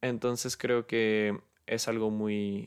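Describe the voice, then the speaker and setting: Speaking with a Mexican accent, a man uses a fairly low pitch and fairly even intonation. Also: very clean recording, silent background. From Mexico, Guadalajara. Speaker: podcast host. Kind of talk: unscripted solo monologue. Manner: halting, many fillers.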